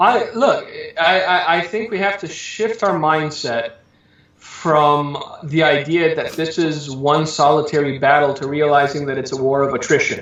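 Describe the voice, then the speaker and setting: Audible room echo surrounds a man with an American accent and a fairly high voice who speaks at a fairly slow pace. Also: ordinary pitch variation. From Southern California. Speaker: preacher. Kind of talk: interview.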